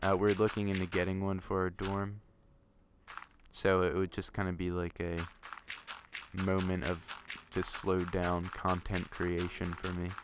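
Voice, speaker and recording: A man's very deep, low pitch broken by long, frequent pauses. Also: moderate pace. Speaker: gaming video creator. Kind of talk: casual chat. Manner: slurs some words; hesitant, many fillers.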